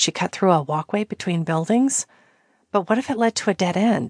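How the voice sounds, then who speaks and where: The voice is a normal speaking voice, moving at a moderate pace. Its pitch varies in an ordinary way against a quiet background. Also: woman. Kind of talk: dramatic audiobook narration of a romantic thriller. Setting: studio audiobook recording.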